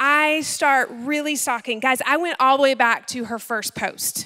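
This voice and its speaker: In a raised, projected voice with a bright, sharp tone, a woman speaks at a fairly slow pace and ordinary pitch variation against a quiet background. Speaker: speaker. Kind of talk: sermon. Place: church. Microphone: handheld.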